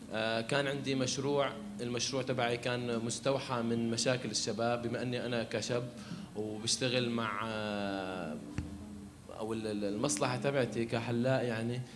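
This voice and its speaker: A man with a medium pitch speaks at a fairly slow pace. There is audible room echo and music in the background. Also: fairly even intonation. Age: 20s. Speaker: barber and entrepreneurship facilitator. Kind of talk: panel talk. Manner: halting.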